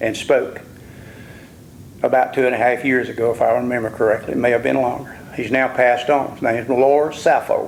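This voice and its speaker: A man speaks with an Alabama accent. His pitch is medium and his intonation fairly even. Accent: US Southern (Alabama). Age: 70s. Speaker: local landowner speaking at public hearing. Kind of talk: public comment testimony. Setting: public hearing in a civic center. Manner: impassioned.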